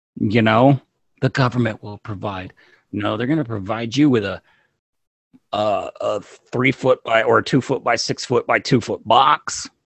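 At a fairly slow pace, a man talks in a plain, everyday voice, his medium pitch held in fairly even intonation. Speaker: podcast co-host. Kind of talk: casual chat.

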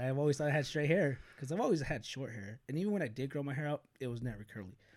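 An American accent marks this man's fairly high voice as he talks at a very fast pace with hardly any pauses and ordinary pitch variation. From US West Coast, Bakersfield, California. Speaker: YouTuber. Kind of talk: casual chat.

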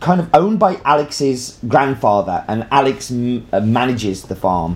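Medium-pitched man's voice, very slow pace. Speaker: coffee presenter. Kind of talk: casual presentation. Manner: halting.

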